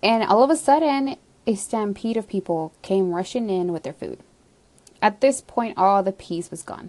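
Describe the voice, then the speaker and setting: A woman with an ordinary speaking voice at medium pitch talks at a moderate pace with lively intonation and big swings in loudness. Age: 20s. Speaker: podcaster. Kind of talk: casual monologue. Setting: home basement.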